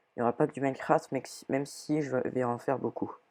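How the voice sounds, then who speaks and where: A woman speaks at a moderate pace in a very deep, low voice with a dark, mellow tone and ordinary pitch variation. The recording is very clean with a silent background. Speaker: gaming youtuber. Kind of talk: gameplay commentary. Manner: halting.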